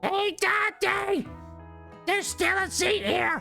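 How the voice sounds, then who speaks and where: In a put-on character voice, a woman speaks very slowly, squeaky and raspy at an extremely high pitch, with clear music playing in the background. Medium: game stream.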